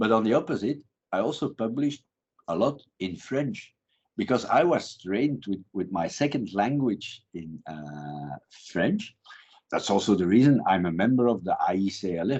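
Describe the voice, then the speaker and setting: A man speaks at a moderate pace in a medium pitch, his voice swinging very widely up and down. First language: Dutch. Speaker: criminology professor. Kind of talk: interview. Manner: halting.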